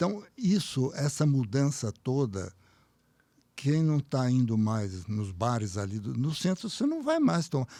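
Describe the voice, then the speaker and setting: In a very clean recording with a silent background, a man with a dark, mellow tone speaks at a fairly slow pace, his pitch swinging very widely. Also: medium pitch for a man. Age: 80s+. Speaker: former business association president. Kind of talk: interview.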